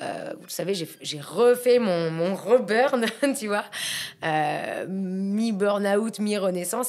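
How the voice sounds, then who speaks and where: A woman at a medium pitch, speaking at a very slow pace with ordinary pitch variation and big swings in loudness, over noticeable background noise. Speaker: entrepreneur. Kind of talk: casual podcast conversation. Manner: hesitant, many fillers.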